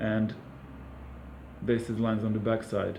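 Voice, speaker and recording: Audible room echo surrounds a man speaking with a Serbian accent. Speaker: camera gear reviewer. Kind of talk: product review. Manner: hesitant, many fillers.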